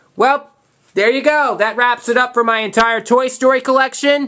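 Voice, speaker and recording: A man with an American accent raises and projects his voice at an extremely high pitch, his tone bright and sharp. His intonation stays fairly even. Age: 20s. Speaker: YouTuber showing his collection. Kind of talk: casual collection show-and-tell video. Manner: fast; halting, repeats words.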